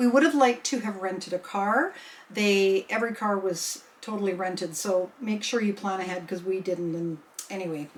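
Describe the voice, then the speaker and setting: A woman speaks with a Western Canadian accent at a moderate pace and medium pitch, with ordinary pitch variation. Noticeable background noise is present. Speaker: sewing vlogger. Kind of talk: casual chat. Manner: halting.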